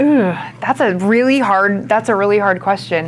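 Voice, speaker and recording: The woman's voice is at a medium pitch and shows ordinary pitch variation. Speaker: sales and marketing expert, guest speaker. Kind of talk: interview before a student audience. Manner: loud.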